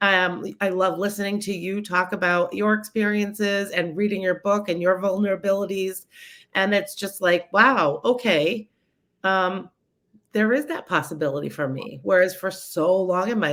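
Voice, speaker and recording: A woman with an American accent, medium pitch, ordinary pitch variation and moderate pace, on a very clean recording with a silent background. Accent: Boston accent when she wants. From Massachusetts, south of Boston. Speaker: positivity coach and speaker. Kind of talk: interview, personal story.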